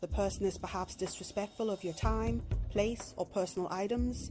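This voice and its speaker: Music plays in the background. A woman with a British accent speaks at a fairly quick pace. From England. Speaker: narrator. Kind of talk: self-help video narration.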